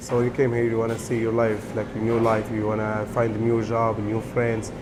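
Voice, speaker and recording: With an Arabic accent, a man of medium pitch talks at a fairly quick pace amid noticeable background noise and audible room echo. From Syria. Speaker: restaurant worker, refugee. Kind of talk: interview testimony. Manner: halting.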